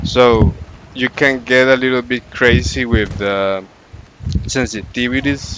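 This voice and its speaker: With noticeable background noise, a man of medium pitch speaks at a fairly slow pace, showing ordinary pitch variation and long, frequent pauses. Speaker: gaming channel creator. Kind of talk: casual gameplay tips commentary.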